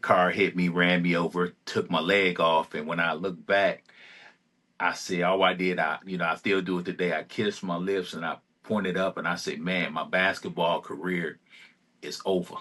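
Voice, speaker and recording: A man with an American accent, very deep and low in pitch, bright and sharp in tone, monotone and flat in intonation, at a moderate pace. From Detroit, Michigan. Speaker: amputee advocate. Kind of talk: interview. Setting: podcast. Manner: hesitant with fillers.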